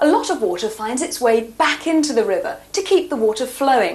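A woman in a British accent talks at a moderate pace with a high pitch and very wide pitch swings, noticeable background noise behind her. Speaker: TV presenter. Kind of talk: scripted narration. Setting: outdoors.

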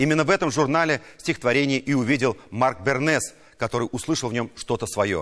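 A man's normal speaking voice, medium in pitch, at a fairly quick pace with hardly any pauses, very even loudness, ordinary pitch variation and a quiet background. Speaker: TV news anchor. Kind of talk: news presenting with commentary. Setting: studio. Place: studio. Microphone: lapel.

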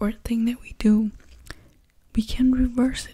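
At a moderate pace, a woman is talking. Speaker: ASMR creator. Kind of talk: soft ASMR talk and chat. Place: home room. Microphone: studio mic.

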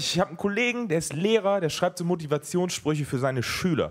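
At a fairly quick pace, a man talks in a high pitch. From Germany. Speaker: stand-up comedian. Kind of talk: stand-up. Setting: stage with audience. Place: stage. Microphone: handheld.

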